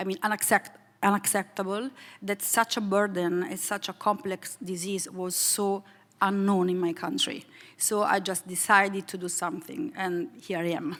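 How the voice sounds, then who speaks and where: A woman with an Italian accent talks with ordinary pitch variation. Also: medium pitch for a woman, moderate pace. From Italy. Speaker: foundation president. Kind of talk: panel discussion. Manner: hesitant, many fillers.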